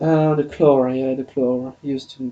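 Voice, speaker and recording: Monotone and flat, a man speaks at medium pitch with a dark, mellow tone. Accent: French. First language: French. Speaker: podcast host. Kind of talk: solo podcast monologue. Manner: halting, many fillers and restarts.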